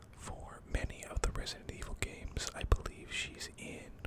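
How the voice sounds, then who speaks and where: A fairly slow whisper against clearly noticeable background noise. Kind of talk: casual talk to camera. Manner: whispered.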